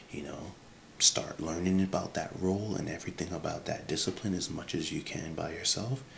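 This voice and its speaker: A man whispering at a fairly quick pace over noticeable background noise. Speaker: career advice creator. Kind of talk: casual advice vlog. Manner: halting, many fillers; soft-spoken.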